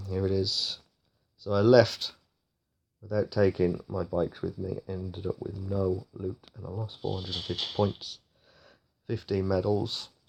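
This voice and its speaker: Over a silent background in a very clean recording, a man speaks with a fairly low pitch and a somewhat breathy sound. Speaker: gaming youtuber. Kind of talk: gameplay commentary. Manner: casual, animated.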